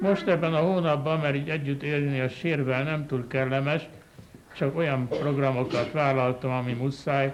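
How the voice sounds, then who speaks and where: A man with fairly high pitch at a moderate pace, amid noticeable background noise and audible room echo. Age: 70s. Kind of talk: sermon. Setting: chapel. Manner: animated.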